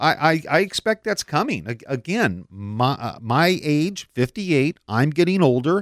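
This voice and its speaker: A man in an American accent, fairly high-pitched with very wide pitch swings, at a very slow pace with hardly any pauses, the sound dry and close with no echo, in a very clean recording with a silent background. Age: 50s. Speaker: radio host and contractor. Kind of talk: radio talk show. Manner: halting, with fillers.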